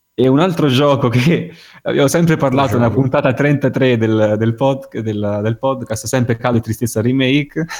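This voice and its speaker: A plain, everyday voice from a man, medium in pitch, with ordinary pitch variation at a moderate pace. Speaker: podcast co-host. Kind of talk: casual chat. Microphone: poor connection.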